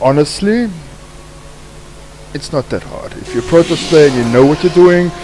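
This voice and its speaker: With a South African accent, a man speaks at a high pitch and a moderate pace, showing ordinary pitch variation. He leaves long, frequent pauses over noticeable background noise. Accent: non-native, South African, sounds a bit off. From South Africa, Cape Town. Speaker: gaming streamer. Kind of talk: gameplay commentary. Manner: casual, with fillers.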